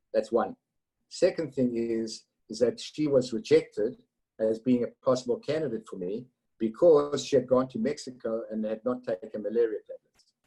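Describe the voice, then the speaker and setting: Speaking at a moderate pace with a non-native accent, a man's voice swings a lot in loudness. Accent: non-Texan foreign. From South Africa. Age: 50s. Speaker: entrepreneur and cancer survivor. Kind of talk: storytelling interview. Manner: animated.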